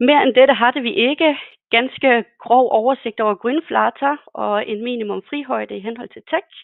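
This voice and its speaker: Fairly slow delivery with big swings in loudness and ordinary pitch variation. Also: woman, high pitch for a woman. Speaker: consulting engineer. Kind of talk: webinar presentation. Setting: webinar. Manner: hesitant, many fillers.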